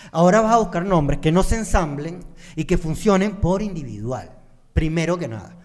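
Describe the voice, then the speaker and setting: Lively intonation marks a man's high-pitched voice at a moderate pace against a quiet background. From Venezuela. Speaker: podcast co-host. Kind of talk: casual chat. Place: studio. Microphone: studio mic.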